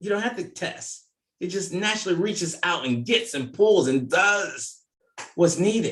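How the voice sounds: At a fairly slow pace, a man speaks with lively intonation and a fairly bright tone at a high pitch. Audible room echo surrounds his voice.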